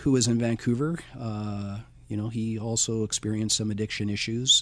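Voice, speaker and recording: In a Canadian accent, a man of medium pitch speaks at a moderate pace in an unremarkable speaking voice. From British Columbia, Canada. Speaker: school educator. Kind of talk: interview.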